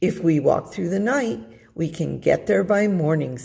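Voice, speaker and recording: This is a put-on character voice, raspy and at a middle pitch. It moves at a moderate pace. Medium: read story. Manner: smooth, flattering.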